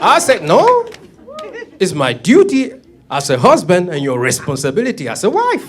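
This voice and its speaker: A high-pitched man with a French-speaking African accent, very wide pitch swings, and long, frequent pauses, amid noticeable background noise and audible room echo. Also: moderate pace. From Cameroon. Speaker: comedian. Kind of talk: stand-up.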